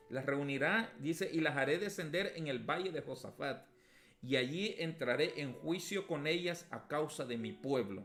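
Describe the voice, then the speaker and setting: With audible vocal fry, a man speaks at a fairly slow pace. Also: fairly high pitch for a man, ordinary pitch variation. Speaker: pastor teaching a Bible class. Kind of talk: Bible lesson. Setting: at home, streamed.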